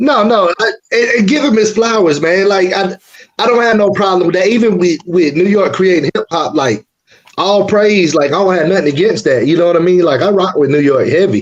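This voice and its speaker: A high-pitched man with an Atlanta accent, fairly quick in pace, with ordinary pitch variation and very even loudness. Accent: Southern US (Atlanta, Georgia). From US South. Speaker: rapper. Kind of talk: interview.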